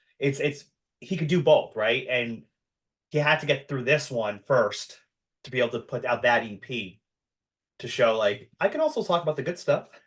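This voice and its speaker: A man with a fairly high, somewhat breathy voice speaks with lively intonation at a moderate pace. His loudness swings widely, and he takes long, frequent pauses. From US, Long Island, New York. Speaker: podcast host. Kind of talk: casual chat.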